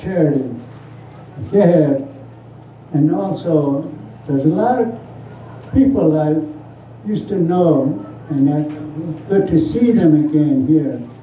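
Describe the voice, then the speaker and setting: A man with a Southwestern US accent talks fairly slowly with long, frequent pauses, his voice fairly high and his intonation lively. Noticeable background noise and audible room echo fill the recording. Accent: Navajo-accented English. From Navajo Nation, US Southwest. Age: 90s. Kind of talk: public speech at community forum.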